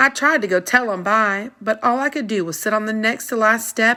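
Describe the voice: Reading aloud, plain.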